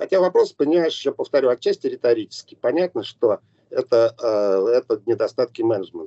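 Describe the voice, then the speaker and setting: This man talks at a fairly quick pace. His loudness stays very even. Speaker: film director. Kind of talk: interview. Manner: halting.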